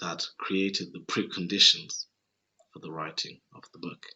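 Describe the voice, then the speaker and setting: This man's very deep, low pitch moves with ordinary pitch variation. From Zimbabwe. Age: 30s. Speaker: author. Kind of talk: casual chat.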